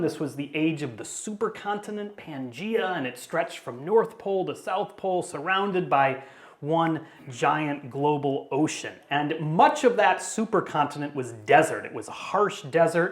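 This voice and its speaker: A man's high-pitched voice in an American accent, with lively intonation, big swings in loudness, hardly any pauses and audible room echo. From US Midwest, Chicago area. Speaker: paleontologist, professor. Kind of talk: public lecture. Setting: talk in front of a live audience. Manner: casual, conversational; fast-paced.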